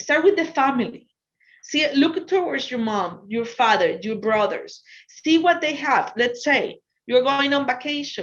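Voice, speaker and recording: A woman's high voice with a Spanish accent, very wide pitch swings and a fairly slow pace. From Ecuador. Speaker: business consultant. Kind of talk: lecture. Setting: virtual talk.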